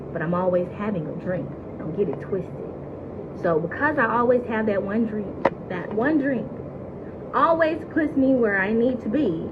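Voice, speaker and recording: An animated woman with an American accent, fairly high in pitch with very wide pitch swings, moderate in pace with long, frequent pauses, amid noticeable background noise and audible room echo. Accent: Southern accent, noticed by viewers. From US South, Mississippi. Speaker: reality TV cast member. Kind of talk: casual chat answering live viewer questions.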